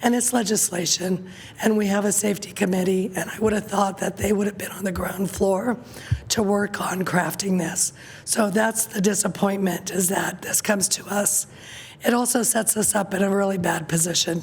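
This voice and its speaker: Noticeable background noise sits behind a woman speaking at a moderate pace with a medium pitch and fairly even intonation. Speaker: city council member. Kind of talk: council meeting discussion.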